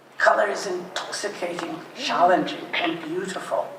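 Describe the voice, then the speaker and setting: A woman with medium pitch and ordinary pitch variation talks at a fairly slow pace, with audible room echo and noticeable background noise. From Poland, later Canada from age 11. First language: Polish. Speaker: painter. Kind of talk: prepared talk at art exhibition.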